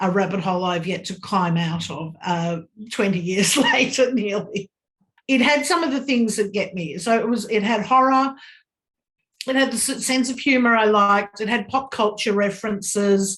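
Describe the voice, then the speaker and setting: A woman with an Australian accent speaks at a moderate pace with ordinary pitch variation. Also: medium pitch for a woman. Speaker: fan interviewee. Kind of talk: interview.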